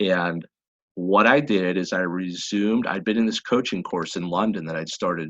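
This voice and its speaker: A man's very deep, low voice, dry and close with no echo. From Pennsylvania, US. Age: 40s. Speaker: personal development coach. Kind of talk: podcast interview. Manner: halting, many repetitions.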